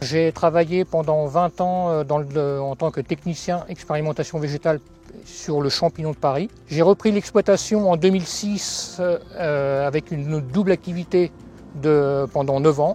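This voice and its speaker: Music plays in the background. A man speaks fairly slowly in a fairly high voice with fairly even intonation. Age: 50s. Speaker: farmer and cooperative board member. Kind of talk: self-introduction testimony.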